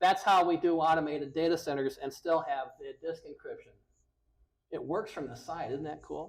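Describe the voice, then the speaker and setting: A man talks at a moderate pace, with big swings in loudness. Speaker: technical account manager presenter. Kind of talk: technical talk. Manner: halting.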